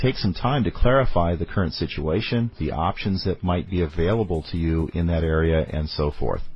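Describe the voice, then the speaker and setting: A man with a very deep, low, somewhat breathy voice speaks at a moderate pace with lively intonation and hardly any pauses. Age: 40s. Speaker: business podcast host and CEO. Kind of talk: podcast talk on business planning.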